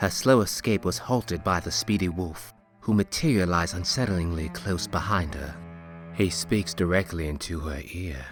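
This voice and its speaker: Background music plays throughout. Over it, a man talks fairly slowly. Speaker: voice-over narrator. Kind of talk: fantasy story narration.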